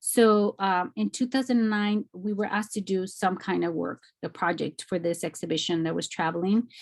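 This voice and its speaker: In an American accent, a woman with an ordinary speaking voice talks at a moderate pace and medium pitch with ordinary pitch variation, on a very clean recording with a silent background. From Mexico, then East Los Angeles. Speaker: artist. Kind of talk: lecture.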